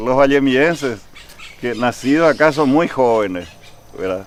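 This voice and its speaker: A man talks at a fairly slow pace in a medium pitch with ordinary pitch variation, against noticeable background noise. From Paraguay, Asunción, raised from age 12 in Vallemí. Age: 60s. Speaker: local historian interviewee. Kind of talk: interview.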